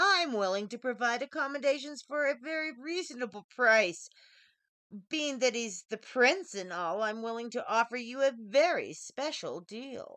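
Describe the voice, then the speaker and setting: In a put-on character voice, a woman speaks at a high pitch and a moderate pace with some hissing, on a very clean recording with a silent background. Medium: read story. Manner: hissing, sly.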